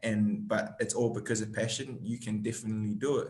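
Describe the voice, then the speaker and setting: Man at a medium pitch and moderate pace, in a New Zealand accent. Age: 20s. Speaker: actor. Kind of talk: interview.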